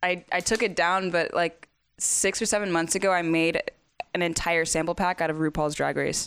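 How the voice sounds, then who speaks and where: Speaking with an American accent, a woman with an unremarkable speaking voice uses a fairly low pitch, fairly even intonation and very even loudness at a moderate pace, in a very clean recording with a silent background. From US South. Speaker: musician and producer. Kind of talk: casual chat. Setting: home kitchen.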